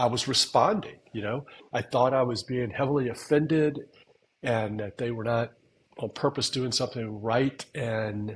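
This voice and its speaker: Somewhat breathy, a man talks at medium pitch and moderate pace with fairly even intonation. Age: 60s. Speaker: podcast co-host, veteran trader. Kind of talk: casual chat.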